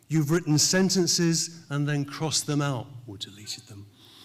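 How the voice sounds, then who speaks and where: This is a man with a British accent. His pitch is fairly high. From England. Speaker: professor. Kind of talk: commencement speech. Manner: formal.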